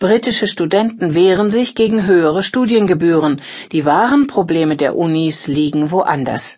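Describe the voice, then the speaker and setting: Using an unremarkable speaking voice, a woman talks at a fairly slow pace with lively intonation and a medium pitch. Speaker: audiobook narrator. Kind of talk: scripted newsreading of magazine articles. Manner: formal.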